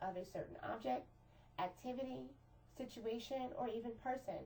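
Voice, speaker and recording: A woman with a fairly high pitch and lively intonation speaks at a moderate pace amid audible room echo. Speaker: teacher. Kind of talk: lecture.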